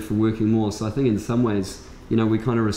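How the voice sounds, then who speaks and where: Audible room echo and light background noise surround a man's speech. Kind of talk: casual conversation. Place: shop.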